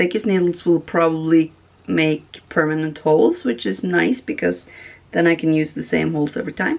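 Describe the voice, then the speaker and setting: Someone speaks at a moderate pace with a Norwegian accent. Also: woman. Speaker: sewing vlogger. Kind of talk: casual tutorial. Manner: halting, many fillers.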